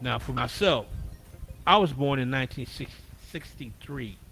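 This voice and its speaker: Speaking at a fairly slow pace, a man has a medium pitch with ordinary variation. His tone is bright and sharp, with vocal fry. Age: 60s. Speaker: spiritual talk livestream host. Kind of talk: casual livestream monologue. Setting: livestream.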